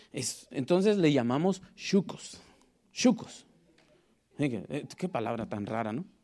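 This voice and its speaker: A man with a Guatemalan accent speaks at a fairly slow pace and a fairly high pitch, recorded very cleanly against a silent background. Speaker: preacher. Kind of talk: sermon. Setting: church.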